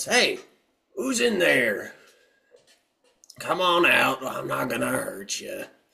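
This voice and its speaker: A man shouts in a raspy, put-on character voice. He goes at a fairly slow pace with long, frequent pauses. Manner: shouting, meant to sound reassuring but came across suspicious.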